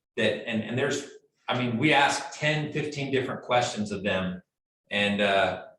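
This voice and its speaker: A man's medium-pitched voice with ordinary pitch variation, a moderate pace and audible room echo. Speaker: mortgage loan officer. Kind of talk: training presentation.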